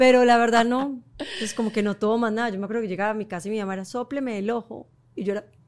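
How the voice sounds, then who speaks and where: A woman with a fairly high pitch talks at a very fast pace and fairly even intonation. Noticeable background noise sits behind her. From Colombia. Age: 40s. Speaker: model and entrepreneur. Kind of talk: casual chat.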